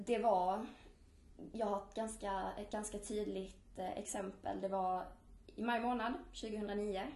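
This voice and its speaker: With long, frequent pauses and a very slow pace, a woman of medium pitch speaks in a monotone, flat intonation amid noticeable background noise and audible room echo. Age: 20s. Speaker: student and eating disorder survivor. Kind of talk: personal testimony.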